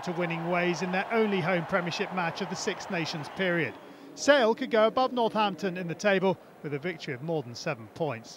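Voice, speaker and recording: Over noticeable background noise, a man talks at a fairly quick pace in a high pitch with lively intonation. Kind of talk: sports commentary. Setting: studio voiceover over highlights. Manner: fast, even-paced, matter-of-fact match recap.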